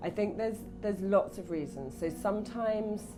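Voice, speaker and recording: A woman talks at a moderate tempo with music playing behind her. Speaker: speech coach. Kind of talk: interview answer.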